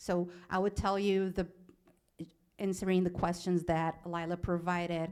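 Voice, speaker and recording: Long, frequent pauses break up a woman's moderate-paced speech, delivered at a fairly low pitch in a flat monotone. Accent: Portuguese. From Brazil. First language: Portuguese. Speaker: animal law specialist, alumni panelist. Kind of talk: panel talk about career path. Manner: halting, many restarts.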